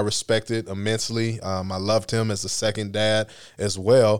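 A man with an American accent speaks in a plain, everyday voice at medium pitch and fairly even intonation, recorded very cleanly against a silent background. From Ohio, US. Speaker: sports team chaplain. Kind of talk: testimony.

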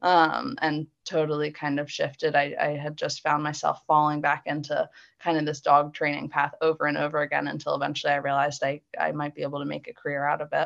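Against a quiet background, a woman with an American accent talks at a fairly quick pace with hardly any pauses. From US Northeast, Philadelphia suburbs. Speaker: dog handler and trainer. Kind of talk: interview.

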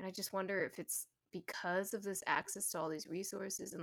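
A woman talks at a moderate pace with ordinary pitch variation. She has an ordinary speaking voice. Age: 30s. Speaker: podcast host. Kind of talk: casual interview chat. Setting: remote call.

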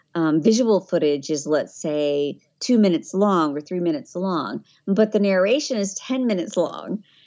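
A woman's medium-pitched voice at a fairly slow pace, with a slight Southern US accent. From Tennessee. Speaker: voiceover artist. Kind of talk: casual interview chat.

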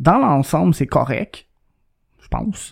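In a Quebec accent, a man with a fairly high pitch and a dark, mellow tone speaks at a moderate pace, the sound dry and close with no echo. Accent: Québécois French. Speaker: podcast co-host. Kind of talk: casual chat. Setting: studio.

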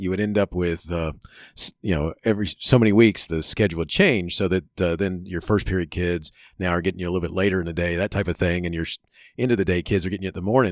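A man with a very deep, low pitch speaks at a very fast pace with fairly even intonation, captured in a very clean recording with a silent background and a dry, close sound with no echo. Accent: American. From Chicago and Florida. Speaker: educator and podcast host. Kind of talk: interview. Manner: halting, many fillers; laughs often.

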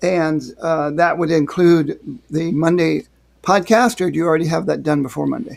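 Here is a man with a normal speaking voice at a fairly high pitch. He keeps a moderate pace and ordinary pitch variation. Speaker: podcast host, writer. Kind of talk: casual chat, interview.

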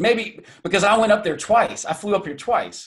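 In an American accent, a man is speaking. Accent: Southern twang with a bit of Midwestern. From US South, Atlanta, Georgia. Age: 40s. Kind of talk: interview, personal story. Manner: halting, many repetitions.

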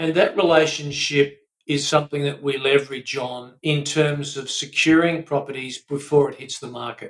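Speaking at a fairly slow pace, a man with an Australian accent has a fairly high pitch and a monotone, flat intonation. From Australia, Melbourne. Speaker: buyer's advocate. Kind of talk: interview.

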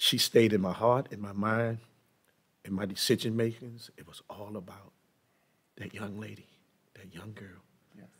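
A man with an American accent and fairly low pitch speaks in monotone, flat intonation at a moderate pace. His loudness swings widely, with long, frequent pauses. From US, East Baltimore. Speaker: minister and former prisoner. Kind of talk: testimony.

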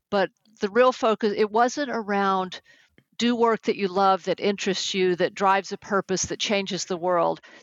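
Recorded with a dry, close sound, no echo and a quiet background, a woman speaks with a slight Texan accent and fairly even intonation. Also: medium pitch for a woman, moderate pace. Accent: slight Texas accent on certain words. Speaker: executive coach and management consultant. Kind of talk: interview.

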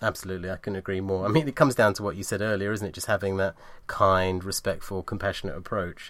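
In a very clean recording with a silent background, a man with a British accent talks at a very fast pace in a fairly low pitch with ordinary pitch variation. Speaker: podcast host. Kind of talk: interview.

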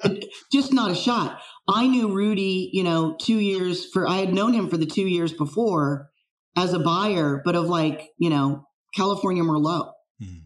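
An ordinary speaking voice with a General American accent talks at a moderate pace with ordinary pitch variation. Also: woman, medium pitch for a woman. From US West Coast, San Francisco Bay Area. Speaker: wine fraud expert. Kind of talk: casual interview.

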